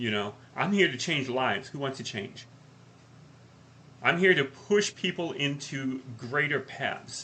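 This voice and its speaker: Loud and bright, with a sharp tone, a man speaks at a medium pitch with lively intonation and long, frequent pauses. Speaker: life coach podcast co-host. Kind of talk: casual chat. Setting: live podcast.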